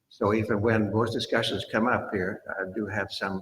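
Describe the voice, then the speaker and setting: A man talks in a somewhat breathy voice with fairly even intonation. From Sweden. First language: Swedish. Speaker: planning commission member. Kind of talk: public meeting.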